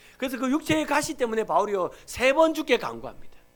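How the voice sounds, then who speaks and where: A man at a fairly quick pace. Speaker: pastor. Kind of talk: sermon. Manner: animated.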